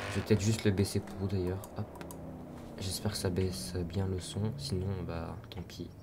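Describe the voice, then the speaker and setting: Moderate pace broken by long, frequent pauses, set against noticeable background noise. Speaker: gaming youtuber. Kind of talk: gameplay commentary. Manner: loud; hesitant.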